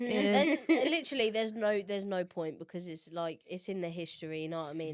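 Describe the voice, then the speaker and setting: Someone talks at a very fast pace with an English accent. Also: woman. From England. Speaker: college soccer player. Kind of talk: casual podcast conversation.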